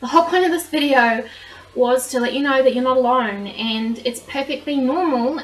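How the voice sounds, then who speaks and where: A woman with a New Zealand accent talks at a moderate pace in a high voice with ordinary pitch variation. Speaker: vlogger. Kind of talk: personal vlog monologue.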